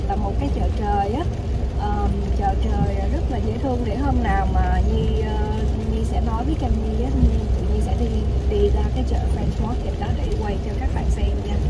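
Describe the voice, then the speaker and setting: Loud background noise behind a woman's voice, moderately paced. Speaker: vlogger. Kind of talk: casual vlog chat. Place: car. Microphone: phone near.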